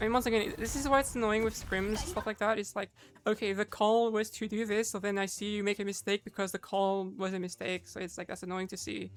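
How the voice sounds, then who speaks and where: A woman talks very fast, with hardly any pauses. Her medium-pitched voice keeps a fairly even intonation. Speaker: Overwatch coach. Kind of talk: gameplay vod review commentary. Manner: casual.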